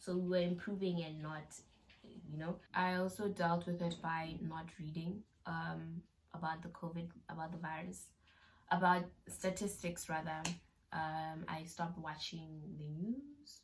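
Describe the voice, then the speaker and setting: Somewhat breathy and fairly low in pitch, a woman talks at a fairly slow pace with fairly even intonation. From South Africa. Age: young. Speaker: YouTuber. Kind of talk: casual talk to camera.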